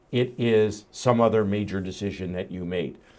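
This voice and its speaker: A man speaks in a normal speaking voice, fairly low in pitch with ordinary pitch variation. The recording is very clean, with a silent background. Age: 60s. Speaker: entrepreneur and investor. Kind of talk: casual chat.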